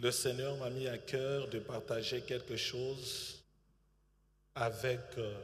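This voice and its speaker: In a room with audible echo, a man speaks very slowly in a somewhat breathy, medium-pitched voice with monotone, flat intonation. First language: bilingual French and English (speaking French). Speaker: pastor. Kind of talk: sermon. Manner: hesitant, many fillers.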